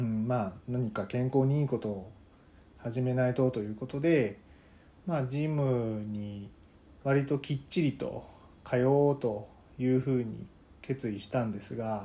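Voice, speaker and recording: Long, frequent pauses break up speech at a fairly slow pace. The tone is dark and mellow, and the pitch varies in an ordinary way. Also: man, medium pitch for a man. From Kansai, Japan. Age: 40s. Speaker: podcaster, office worker. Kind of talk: solo casual monologue. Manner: hesitant, many fillers.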